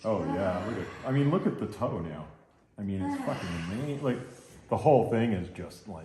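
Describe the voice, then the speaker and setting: A man with a fairly low pitch speaks at a moderate pace with lively intonation. Audible room echo and noticeable background noise are present. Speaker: massage therapist. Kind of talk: live demonstration with commentary. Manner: casual.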